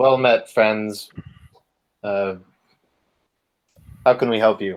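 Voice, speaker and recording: Putting on a character voice, a man booms loudly at a medium pitch, very slowly and with fairly even intonation. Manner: loud, booming.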